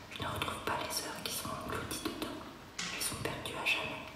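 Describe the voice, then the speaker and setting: Whispering from a woman, at a moderate pace. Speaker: performer reading from her own speculative diary. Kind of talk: intimate spoken-word performance, diary reading. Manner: whispered, intimate. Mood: intimate, introspective.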